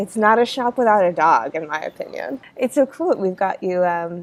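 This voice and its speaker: Lively intonation at a moderate pace marks an ordinary speaking voice. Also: woman. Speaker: podcast host. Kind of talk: interview.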